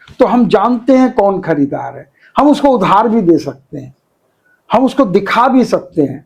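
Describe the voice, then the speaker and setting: A man with a high voice makes very wide pitch swings and big swings in loudness. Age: 70s. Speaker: business consultant. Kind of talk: interview.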